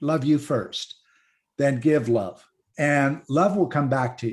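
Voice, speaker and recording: Here is an ordinary speaking voice. A man talks at a fairly slow pace and a medium pitch. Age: 60s. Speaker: panelist in an online discussion. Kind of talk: online panel discussion.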